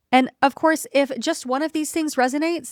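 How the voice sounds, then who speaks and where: A woman's voice, dry and close, with no echo. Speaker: life coach and podcast host. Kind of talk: solo podcast monologue. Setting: home. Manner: gentle, warm.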